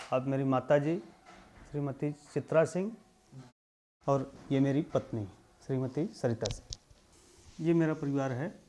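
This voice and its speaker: A man's fairly high-pitched voice. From Uttar Pradesh, India (Varanasi district). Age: 30s. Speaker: farmer. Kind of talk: testimony.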